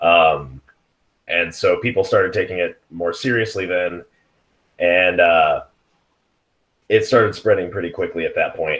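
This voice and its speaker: With a Pacific Northwest accent, a man speaks at a fairly slow pace with long, frequent pauses. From Seattle area, US. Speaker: IT worker. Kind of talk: casual chat.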